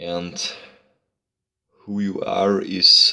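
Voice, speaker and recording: With a non-native accent, a man is speaking. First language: not English. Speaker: YouTuber discussing psychology. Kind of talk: casual monologue to camera. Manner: halting, many fillers and repeats.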